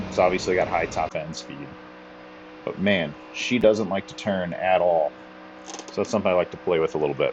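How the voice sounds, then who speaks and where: Lively intonation with an American accent, a moderate pace, long, frequent pauses and noticeable background noise. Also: man. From United States. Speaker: sim racing gaming channel host. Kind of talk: gameplay commentary. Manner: casual, with filler words.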